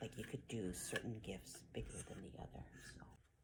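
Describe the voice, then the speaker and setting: Whispering and soft-spoken, a woman talks with vocal fry. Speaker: craft video creator. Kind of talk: tutorial. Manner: soft-spoken, near whisper.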